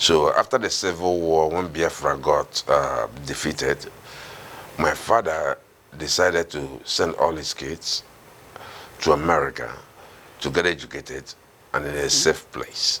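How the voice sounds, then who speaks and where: Against noticeable background noise, a man speaks at a fairly slow pace with long, frequent pauses. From Nigeria, Imo State. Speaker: Nigerian immigrant interviewee. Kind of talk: interview. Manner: halting, many fillers.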